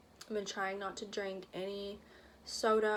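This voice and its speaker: A woman at medium pitch, monotone and flat, with audible room echo. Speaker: vlogger. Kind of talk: casual chat. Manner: fast.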